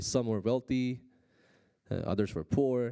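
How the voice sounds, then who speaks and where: A dark, mellow voice with a non-native accent comes through a very clean recording with a silent background. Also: man. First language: Korean. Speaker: pastor. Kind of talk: sermon. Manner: halting, many fillers.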